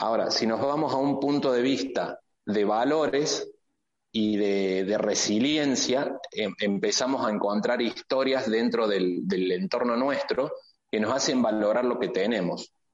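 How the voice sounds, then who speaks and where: At a fairly slow pace, a man with a medium pitch and ordinary pitch variation speaks in an unremarkable speaking voice. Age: 50s. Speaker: entrepreneur. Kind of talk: interview.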